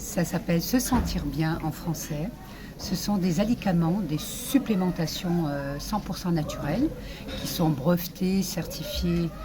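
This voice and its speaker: A woman with a fairly low pitch talks at a very slow pace, and noticeable background noise is present. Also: ordinary pitch variation. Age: 60s. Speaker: social media influencer promoting supplements. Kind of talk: sales pitch / testimony. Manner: halting, many hesitations.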